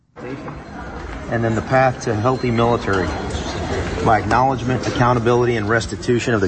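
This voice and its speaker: A man at a medium pitch with fairly even intonation and a moderate pace, amid noticeable background noise. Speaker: former soldier, veteran. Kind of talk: interview.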